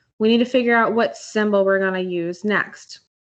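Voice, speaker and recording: A woman with monotone, flat intonation. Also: quiet background. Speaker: math teacher. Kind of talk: online class tutorial. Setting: video call.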